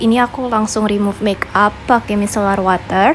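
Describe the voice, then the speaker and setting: Music plays in the background as a woman speaks at a fairly quick pace with fairly even intonation. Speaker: lifestyle vlogger. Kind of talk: vlog narration.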